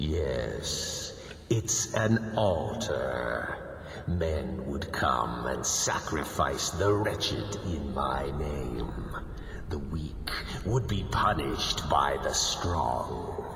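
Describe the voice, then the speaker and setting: Amid loud background noise and a clear echo, a man performs a put-on character voice at a very slow pace. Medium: machinima. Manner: menacing, imperious.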